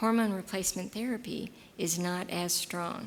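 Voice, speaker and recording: With an American accent, a woman speaks in a plain, everyday voice at medium pitch, fairly slow and with fairly even intonation. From Texas. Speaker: gynecologist giving a talk. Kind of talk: lecture with audience Q&A.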